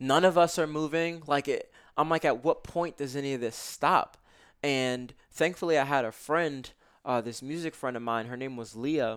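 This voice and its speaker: A man speaks with a fairly high pitch, a plain, everyday voice, and an American accent. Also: ordinary pitch variation, moderate pace. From US Northeast (Brooklyn, New York). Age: 20s. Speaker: self-development author and meditation teacher. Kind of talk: casual interview.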